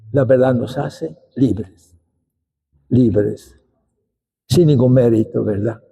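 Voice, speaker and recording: A man speaks at a very slow pace with long, frequent pauses. His voice has vocal fry and ordinary pitch variation. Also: medium pitch for a man. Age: 80s+. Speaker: bishop. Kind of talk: lecture. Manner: halting.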